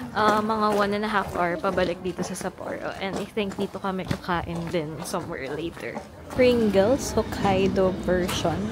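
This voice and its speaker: A soft-spoken woman at a medium pitch, moderate pace and ordinary pitch variation, with music in the background. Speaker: travel vlogger. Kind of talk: casual vlog narration. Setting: outdoors in the cold, then restaurant.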